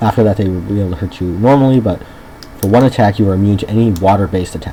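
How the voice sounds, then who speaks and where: A man talks at a very fast pace with a fairly low pitch and ordinary pitch variation over noticeable background noise. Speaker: gaming video creator. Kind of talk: let's play commentary. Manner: loud; hesitant, many ums. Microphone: bad microphone, separate voice recorder, may be quiet.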